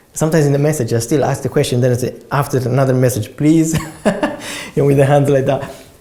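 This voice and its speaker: Noticeable background noise sits behind a man talking very fast. His intonation is flat and monotone. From Italy. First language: Italian. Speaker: property investor. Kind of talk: interview answers. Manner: halting, with repeated words.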